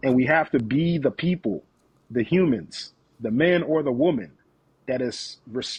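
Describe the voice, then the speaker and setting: A somewhat breathy man with an animated tone and lively intonation. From West Africa, moved to US at about 10. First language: African dialect. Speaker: leadership coach. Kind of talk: podcast interview. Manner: animated, emphatic.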